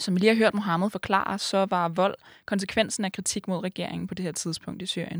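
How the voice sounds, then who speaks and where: A plain, everyday voice, fairly even in intonation, on a very clean recording with a silent background and a dry, close sound with no echo. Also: woman. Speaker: student podcast host. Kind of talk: interview and scripted narration.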